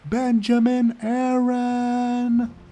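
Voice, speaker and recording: A put-on character voice shouts, shrill and fairly high in pitch. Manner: yelling.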